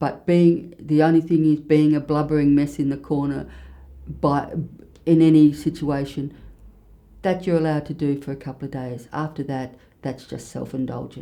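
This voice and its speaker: A woman with an Australian accent speaks at a moderate pace in a very deep, low pitch, her tone dark and mellow, her intonation flat and monotone, and her loudness swinging widely. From Australia, King Island (Tasmania). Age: 60s. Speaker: bookseller and former nurse. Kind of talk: interview.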